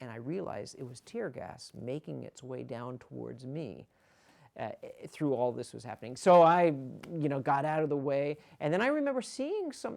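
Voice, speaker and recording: A man speaks at a moderate pace with big swings in loudness, in a very clean recording with a silent background. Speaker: ring announcer. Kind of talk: interview answer. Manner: conversational, storytelling.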